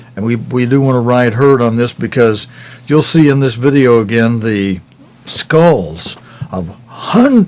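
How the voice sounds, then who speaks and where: Noticeable background noise runs under speech that goes at a fairly slow pace. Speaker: news program host. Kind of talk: news commentary. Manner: halting.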